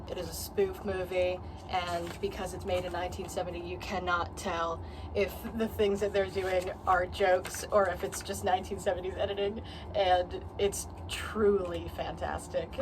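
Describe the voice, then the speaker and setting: A woman talks at a moderate pace. Background noise is noticeable. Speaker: film collector. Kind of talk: casual talk to camera.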